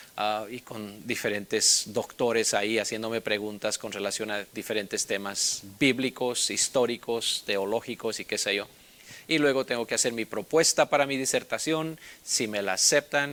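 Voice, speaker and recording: This man's voice sits at a medium pitch, with ordinary pitch variation. He talks at a moderate pace. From Bolivia. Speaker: Bible instructor. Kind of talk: personal introduction. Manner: casual, with many filler sounds.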